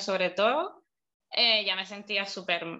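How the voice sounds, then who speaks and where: This woman's voice has a bright, sharp tone. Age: 30s. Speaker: beautician sharing her recovery experience. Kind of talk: interview testimony.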